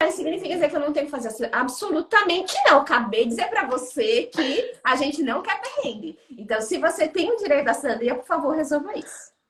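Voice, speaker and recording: Animated high-pitched woman at a very fast pace with hardly any pauses and very wide pitch swings. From Brazil. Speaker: psychologist and job market consultant. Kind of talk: live interview. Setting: Instagram live stream.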